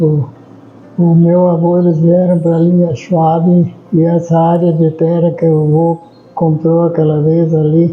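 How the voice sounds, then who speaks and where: A man speaks at a fairly slow pace in a high, flat monotone. Music plays in the background. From Humaitá, Rio Grande do Sul, southern Brazil. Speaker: long-time local resident. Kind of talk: interview testimony. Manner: halting, repeats words.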